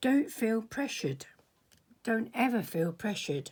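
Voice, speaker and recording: The voice has a dark, mellow tone and lively intonation at a moderate pace. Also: woman. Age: 70s. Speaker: artist. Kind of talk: tutorial. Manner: halting.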